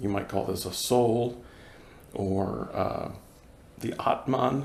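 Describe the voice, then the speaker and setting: There is audible room echo around the speaker. He is a man with an American accent. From US Northeast, Boston. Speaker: Zen practitioner giving dharma talk. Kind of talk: dharma talk. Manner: hesitant, many fillers.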